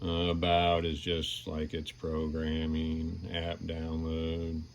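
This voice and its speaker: Very slowly and in a flat monotone, a man speaks with a very deep, low pitch. Room echo is audible. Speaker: product reviewer. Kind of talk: product review. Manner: casual, hesitant.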